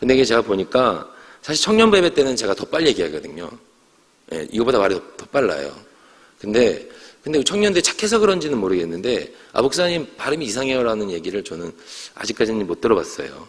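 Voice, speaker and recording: Very fast speech from a man at medium pitch, with very wide pitch swings over noticeable background noise. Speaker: pastor. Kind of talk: sermon. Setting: church.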